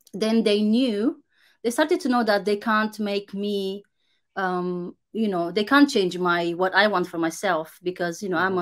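A woman with a Romanian accent speaks at medium pitch and a moderate pace, with ordinary pitch variation, against a quiet background. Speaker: content creator. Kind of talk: casual interview. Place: home room.

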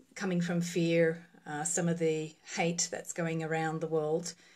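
This woman's voice sits at a fairly low pitch. She talks at a fairly slow pace. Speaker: relationship coach. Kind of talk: casual live-stream talk. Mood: calm, reflective. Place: home room. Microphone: phone near.

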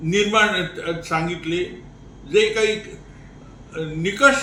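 A man's raised, projected voice, high in pitch with ordinary variation, over noticeable background noise. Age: 90s. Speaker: elderly advocate and veteran of the independence movement. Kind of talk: interview answer.

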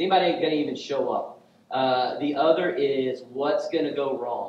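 Over light background noise and audible room echo, a man speaks at a moderate pace with ordinary pitch variation. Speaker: pastor. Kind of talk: sermon. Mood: light, joking. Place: church.

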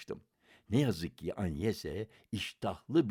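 Over a quiet background, there's an unforced reading voice.

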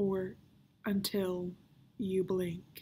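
A woman puts on a strained, wheezy character voice at medium pitch, with monotone, flat intonation. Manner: defiant, mocking.

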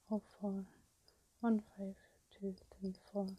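Soft-spoken and somewhat breathy, a woman talks at a fairly slow pace in a dark, mellow tone with monotone, flat intonation. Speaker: ASMR creator. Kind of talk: ASMR video. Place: home room.

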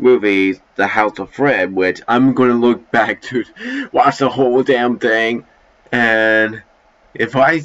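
A man talks very slowly, his pitch varying in an ordinary way. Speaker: amateur voice actor. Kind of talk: casual vlog chat. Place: home room. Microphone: headset.

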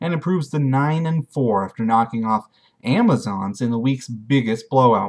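A man at a fairly slow pace with ordinary pitch variation, against a quiet background. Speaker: fantasy league recap host. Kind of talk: sports commentary recap. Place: home room. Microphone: webcam.

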